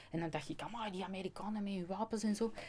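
The pace is fairly quick. It is a woman talking. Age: 50s. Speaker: customs agent and natural law speaker; speaker. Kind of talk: interview. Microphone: studio mic.

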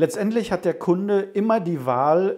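The tone is dark and mellow, delivered at a fairly slow pace. The background is quiet. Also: man. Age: 50s. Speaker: home cinema company owner. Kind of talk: interview. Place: office.

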